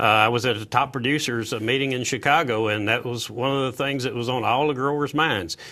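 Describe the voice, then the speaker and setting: Here a man speaks with a Southern US accent at a fairly quick pace. His tone is bright and sharp, his intonation fairly even. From Tennessee. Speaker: agricultural sales director. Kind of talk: live TV panel interview. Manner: halting, many fillers.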